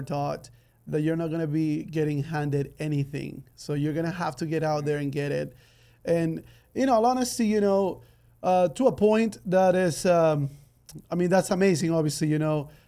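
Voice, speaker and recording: A man with a Spanish accent speaks at a moderate pace in a fairly high voice with a dark, mellow tone. His pitch variation is ordinary, and the recording is very clean with a silent background. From Ecuador. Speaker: podcast host. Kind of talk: interview podcast. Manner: halting, many fillers.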